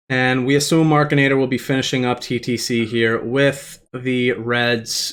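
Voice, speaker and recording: The speaker is a man with a Boston accent and a medium pitch. The recording is very clean, with a silent background. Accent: Boston accent, strong on some words. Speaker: speedrun race commentator. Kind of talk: live commentary. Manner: casual, conversational.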